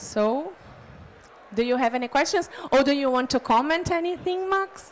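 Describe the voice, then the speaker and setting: Talking at a moderate pace in a Brazilian Portuguese accent, a woman has a high pitch and lively intonation. Her loudness stays very even over noticeable background noise. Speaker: city official. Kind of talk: conference panel presentation. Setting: conference pavilion. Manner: halting.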